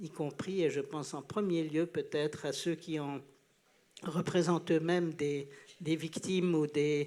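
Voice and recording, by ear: Here a man with a fairly high voice talks at a fairly slow pace. His tone is slightly mellow and his intonation fairly even.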